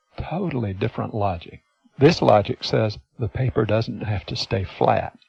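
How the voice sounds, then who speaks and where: An unremarkable speaking voice, a man's at medium pitch, carries lively intonation at a moderate pace in a dry, close sound with no echo. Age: 60s. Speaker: hypnotist and seminar presenter. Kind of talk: teleseminar talk.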